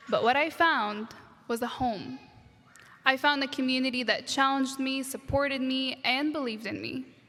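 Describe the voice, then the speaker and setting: A woman's high voice is raised and projected, moving at a moderate pace. Her intonation is fairly even. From Egypt, Alexandria, moved to US at 13. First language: Arabic. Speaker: graduate student speaker. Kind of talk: commencement speech. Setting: stage with audience, graduation ceremony.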